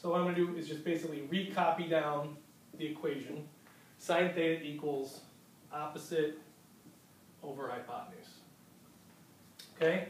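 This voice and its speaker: A man talks with a fairly high pitch. Long, frequent pauses break up his speech amid noticeable background noise. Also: ordinary pitch variation, moderate pace. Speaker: math teacher. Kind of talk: math lesson.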